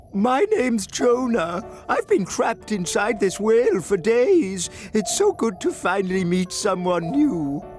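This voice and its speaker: Over clear music in the background, a cartoonish character voice with a fairly high pitch speaks at a moderate pace. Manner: bubbly.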